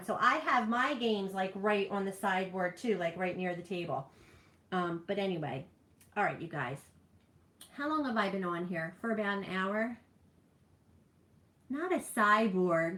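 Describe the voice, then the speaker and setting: With a New Jersey accent, a woman of medium pitch talks in a bright, sharp tone with lively intonation at a fairly slow pace, leaving long, frequent pauses. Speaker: streamer. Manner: casual, rambling.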